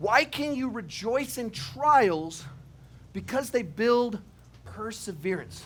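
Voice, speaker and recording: A man's high voice at a very slow pace with very wide pitch swings, on a very clean recording with a silent background. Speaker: preacher. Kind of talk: sermon with humorous asides. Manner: conversational, humorous.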